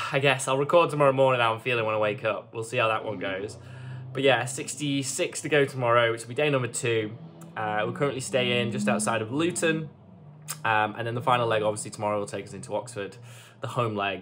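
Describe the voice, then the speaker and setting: Light background noise sits behind a man speaking at a fairly quick pace. His pitch varies in an ordinary way. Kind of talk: casual vlog chat. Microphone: phone near.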